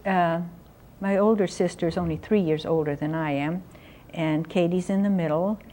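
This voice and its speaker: A woman's dark, mellow tone at a fairly slow pace. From San Francisco, California. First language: German. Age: 70s. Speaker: artist. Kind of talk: interview.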